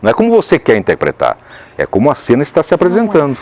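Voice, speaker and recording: The recording of this man is dry and close with no echo, his fairly high pitch swinging very widely. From Caxias do Sul, southern Brazil. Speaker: voice actor. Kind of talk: interview answer.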